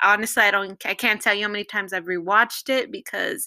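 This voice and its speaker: A woman speaks with a Californian accent on a very clean recording with a silent background. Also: dry, close sound with no echo. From Los Angeles. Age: 20s. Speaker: engineering student. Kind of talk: casual chat. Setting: at home with housemates.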